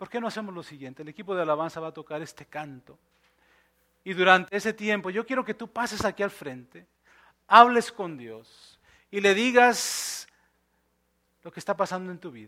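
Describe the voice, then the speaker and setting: A man with a high voice for a man speaks in a raised, projected voice with a bright, sharp tone, lively intonation and big jumps in loudness. Long pauses come often, and the recording is very clean with a silent background. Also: moderate pace. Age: 40s. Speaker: pastor. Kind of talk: sermon. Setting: church.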